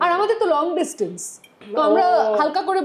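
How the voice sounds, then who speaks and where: Over noticeable background noise, a woman talks in an extremely high pitch. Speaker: sports anchor and FM radio host. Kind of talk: casual podcast interview conversation.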